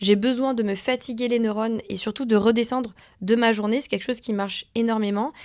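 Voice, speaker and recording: A woman at a fairly quick pace with monotone, flat intonation, in a very clean recording with a silent background. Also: fairly high pitch for a woman. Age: 20s. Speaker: vlogger. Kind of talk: casual vlog talk to camera. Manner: fast.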